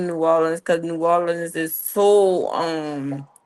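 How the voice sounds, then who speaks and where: A woman with an American accent speaks in a plain, everyday voice, fairly low in pitch, with fairly even intonation. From US South, Louisiana, St. Tammany Parish (North Shore). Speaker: live chat guest. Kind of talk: casual chat.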